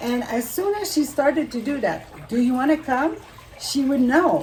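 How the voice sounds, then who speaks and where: Noticeable background noise accompanies a woman speaking at a high pitch with lively intonation and a strong French Canadian accent. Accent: thick French Canadian accent in English. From Quebec, French Canada. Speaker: animal communicator and naturopath. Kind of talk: interview. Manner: halting.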